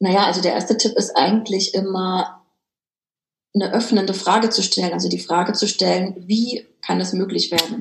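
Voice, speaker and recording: With vocal fry, a woman speaks at a medium pitch with fairly even intonation. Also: moderate pace. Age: 30s. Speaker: author and business coach. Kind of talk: interview.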